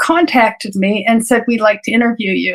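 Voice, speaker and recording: Here a woman talks. Ordinary variation shows in her pitch. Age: 70s. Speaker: physician. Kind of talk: interview storytelling.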